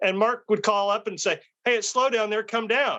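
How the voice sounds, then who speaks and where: Talking at a fairly quick pace, a man with an American accent has a high pitch and a bright, sharp tone. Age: 60s. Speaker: street photographer. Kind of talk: casual interview chat.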